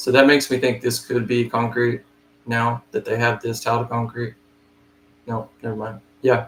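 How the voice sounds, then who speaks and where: A man speaks at medium pitch in a monotone, flat intonation. His voice is somewhat breathy, with long, frequent pauses. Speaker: flooring estimator. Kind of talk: live screen-share tutorial. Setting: live stream, no camera. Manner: fast.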